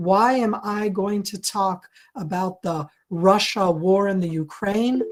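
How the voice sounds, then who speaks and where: This speaker has an American accent. The pace is fairly slow. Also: woman. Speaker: security analyst. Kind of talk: lecture. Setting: video call. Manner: deliberately slowed, clear.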